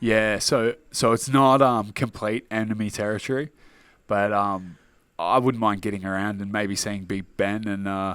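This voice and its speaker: A man with a strong Australian accent, fairly low in pitch, at a moderate pace with fairly even intonation, on a very clean recording with a silent background. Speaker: mixed martial arts fighter. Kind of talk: interview. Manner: casual.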